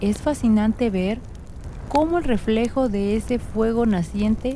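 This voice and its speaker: Soft-spoken and fairly slow, a woman talks at a medium pitch with ordinary pitch variation. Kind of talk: sleep story. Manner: soft-spoken, slow.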